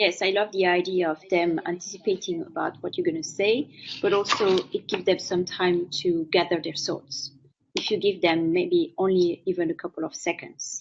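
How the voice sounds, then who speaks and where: A woman with a strong French accent, medium pitch, ordinary pitch variation and a moderate pace. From France. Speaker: interviewer, author and former journalist. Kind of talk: interview. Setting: live video stream.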